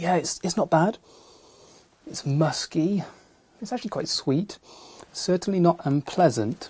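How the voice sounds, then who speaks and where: Quietly, a man with a high pitch and ordinary pitch variation speaks at a fairly slow pace with long, frequent pauses. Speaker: wildlife TV presenter. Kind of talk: nature presenting to camera. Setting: in a wildlife hide. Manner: speaking quietly.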